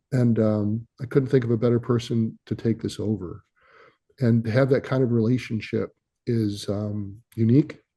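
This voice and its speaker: A man at a moderate pace, somewhat breathy, with a dark, mellow tone, medium pitch and fairly even intonation. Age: 60s. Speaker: company founder and CEO. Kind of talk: interview. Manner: hesitant, many fillers.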